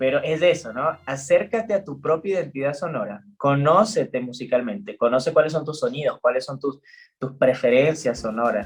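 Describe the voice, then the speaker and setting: This man has a fairly high voice, somewhat breathy, with lively intonation. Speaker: music therapist. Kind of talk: interview. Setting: live stream. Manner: fast; talkative.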